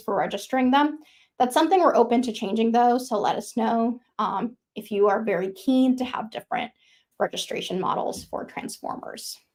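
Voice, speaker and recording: A woman speaks at a moderate pace with a fairly high pitch and ordinary pitch variation. It is an ordinary speaking voice. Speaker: software engineer presenting a framework feature. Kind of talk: technical presentation with live demo.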